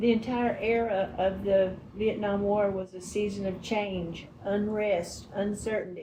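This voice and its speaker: With hardly any pauses, a woman with a Texan accent speaks at a fairly slow pace and medium pitch in a monotone, flat intonation, with audible room echo. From Texas, Northeast (Greenville). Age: 80s+. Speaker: interviewee recalling history. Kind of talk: interview.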